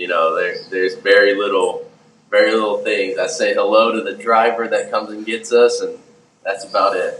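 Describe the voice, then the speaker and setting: A man speaks with a Southern accent. His pace is moderate. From Houston, Texas. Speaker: professional baseball pitcher. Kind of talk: interview.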